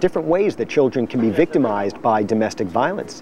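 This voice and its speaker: This is a plain, everyday voice with an American accent. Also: man. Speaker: prosecutor running for district attorney. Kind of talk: campaign interview answer.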